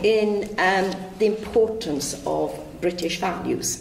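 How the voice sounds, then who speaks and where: A woman with a Welsh accent speaks at a medium pitch with lively intonation, with noticeable background noise and audible room echo. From West Wales. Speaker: local councillor. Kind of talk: panel speech.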